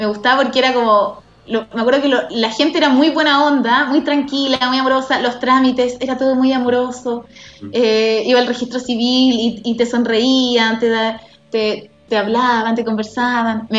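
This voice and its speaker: With a Chilean accent, a woman speaks at a moderate pace in a high pitch against noticeable background noise. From Chile, Santiago. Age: 30s. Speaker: guest; works from home in media. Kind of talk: casual interview chat. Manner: animated, frequent laughter.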